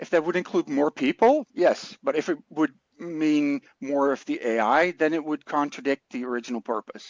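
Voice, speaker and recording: A man with a fairly high pitch speaks at a moderate pace, varying his pitch in an ordinary way. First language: not English. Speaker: podcast co-host. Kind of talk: casual podcast chat.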